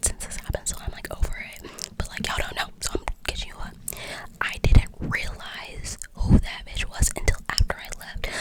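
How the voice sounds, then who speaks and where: Someone whispers at a moderate pace amid noticeable background noise. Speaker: ASMR creator. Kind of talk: casual storytime talk to camera. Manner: whispered.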